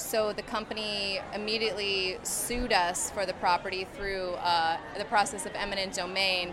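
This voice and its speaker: A woman's medium-pitched, monotone, flat voice with an American accent, amid audible room echo and noticeable background noise. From rural central Pennsylvania. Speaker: anti-pipeline activist. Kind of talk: protest interview testimony.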